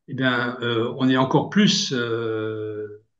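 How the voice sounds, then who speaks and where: A man speaks in a room with audible echo. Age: 60s. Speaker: long-distance cyclist. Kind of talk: interview. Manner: halting, many hesitations.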